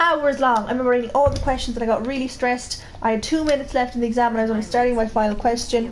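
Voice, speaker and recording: A woman with a strong Irish Midlands accent talks very fast in a high pitch, amid noticeable background noise and audible room echo. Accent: strong Midlands Irish, boggy. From Ireland, Midlands, County Laois. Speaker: co-host of gaming stream. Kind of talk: casual chat.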